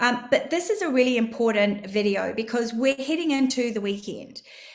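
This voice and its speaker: A woman speaks in a New Zealand accent. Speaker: crypto trading educator. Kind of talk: live stream market analysis. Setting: live stream.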